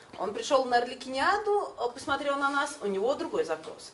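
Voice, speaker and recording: A woman talks against light background noise. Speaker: acting trainer. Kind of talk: panel discussion. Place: meeting room. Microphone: camera far.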